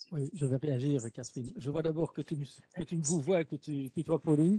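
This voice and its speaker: A dark, mellow tone at a moderate pace, dry and close with no echo. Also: man. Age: 60s. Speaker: teacher educator. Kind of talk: webinar discussion.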